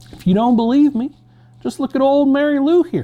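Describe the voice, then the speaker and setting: Using a put-on character voice at an extremely high pitch, a man speaks at a fairly quick pace. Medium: read story.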